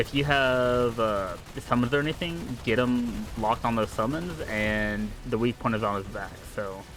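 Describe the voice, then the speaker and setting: Music plays in the background while a man speaks at a moderate pace. His pitch is medium, with ordinary variation. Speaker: gaming streamer. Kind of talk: gameplay commentary. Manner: calm, relaxed.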